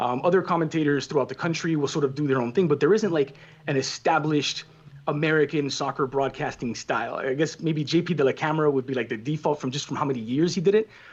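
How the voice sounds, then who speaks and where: In a Spanish accent, a man talks very fast. His pitch is fairly high, with ordinary pitch variation. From Cuba, raised in Miami. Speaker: soccer play-by-play commentator. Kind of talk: casual interview.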